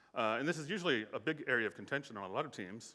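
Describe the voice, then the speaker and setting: A man speaks with an American accent. His tone is bright and sharp. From United States. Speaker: conference speaker, software engineering executive. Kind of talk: conference talk. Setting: stage with audience. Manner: hesitant fillers.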